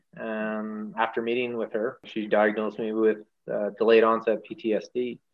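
A man speaks with a Canadian accent at a medium pitch and a moderate pace. His intonation is flat and monotone. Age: 40s. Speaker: firefighter. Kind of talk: casual chat.

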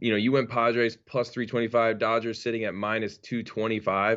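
At a moderate pace, an unremarkable speaking voice delivers its words. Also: man. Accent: American. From New York. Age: 30s. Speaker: guest, sports bettor and baseball fan. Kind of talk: casual sports chat.

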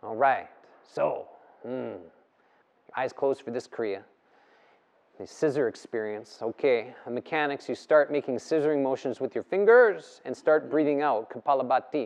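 With an intense tone and ordinary pitch variation, the speaker goes at a moderate pace with long, frequent pauses, and the sound is dry and close with no echo. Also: man, medium pitch for a man. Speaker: yoga teacher leading breathwork. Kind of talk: guided breathwork session, live class instruction. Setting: live in-person yoga studio session with participants. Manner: urgent, commanding, coaching with rhythmic repeated cues; intense, provocative, pushing the group to work up into a frenzy.

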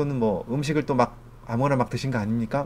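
A man's medium-pitched voice at a very fast pace. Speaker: physician and lecturer. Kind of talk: lecture. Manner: formal.

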